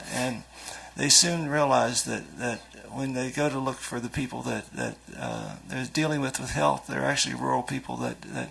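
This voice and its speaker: Moderate pace from a male speaker, with noticeable background noise throughout. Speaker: foundation agriculture official, conference speaker. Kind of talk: conference talk. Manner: halting, repetitive.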